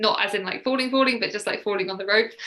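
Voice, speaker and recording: A woman talks in a southern English accent at a medium pitch with ordinary pitch variation. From southern England, Sussex. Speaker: mindset coach. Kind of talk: interview.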